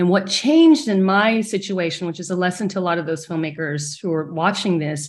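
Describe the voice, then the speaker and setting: A woman with an American accent, a normal speaking voice at medium pitch, ordinary pitch variation and a fairly quick pace, over a quiet background. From small-town Texas. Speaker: film director. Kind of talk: panel discussion.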